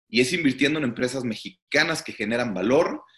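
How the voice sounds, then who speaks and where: A man's bright, sharp tone moves at a moderate pace with lively intonation. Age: 30s. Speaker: startup CEO. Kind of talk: interview.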